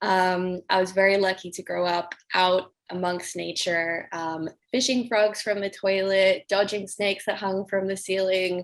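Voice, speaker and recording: A woman talks at a fairly slow pace with hardly any pauses. Her medium-pitched voice keeps a monotone, flat intonation. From Australia. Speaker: climate activist, organization founder. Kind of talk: panel discussion.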